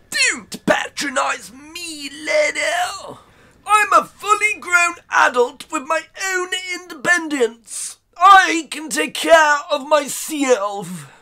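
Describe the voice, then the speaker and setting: A high-pitched put-on character voice at a very slow pace. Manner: whiny, indignant, foul-mouthed.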